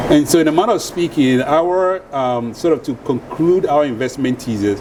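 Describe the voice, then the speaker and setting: Man with a fairly high pitch and lively intonation at a moderate pace, over noticeable background noise. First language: a Ghanaian or other African language. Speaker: venture capitalist. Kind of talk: panel discussion. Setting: stage with live audience.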